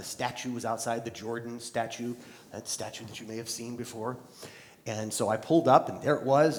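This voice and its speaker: A man talks at a very fast clip over noticeable background noise. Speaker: keynote speaker. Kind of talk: live keynote speech to an audience.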